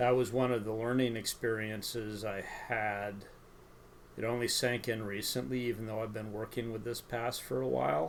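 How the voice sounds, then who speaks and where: At a medium pitch and a moderate pace, a man talks in a plain, everyday voice with fairly even intonation. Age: 60s. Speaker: mapping hobbyist streamer. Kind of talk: live-stream tutorial. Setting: live stream from home.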